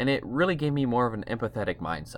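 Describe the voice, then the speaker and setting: This is a man speaking with an American accent. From US Midwest, Ohio (near Toledo). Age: 20s. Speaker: faith podcaster. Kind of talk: personal testimony monologue.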